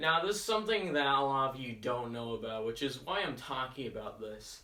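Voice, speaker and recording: A man mumbles at a fairly high pitch with lively intonation over noticeable background noise. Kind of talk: casual talk to camera. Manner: hesitant, with long pauses, mumbling and stuttering; improvised, conversational.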